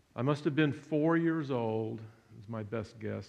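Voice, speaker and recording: Audible room echo surrounds a man with an American accent who speaks at medium pitch and a moderate pace with ordinary pitch variation. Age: 60s. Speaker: son of a Holocaust survivor, public speaker. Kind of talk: public talk. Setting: church hall with audience. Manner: halting.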